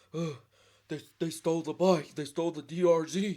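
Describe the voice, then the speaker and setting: A man puts on a character voice, high in pitch and monotone, with flat intonation at a moderate pace. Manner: frantic.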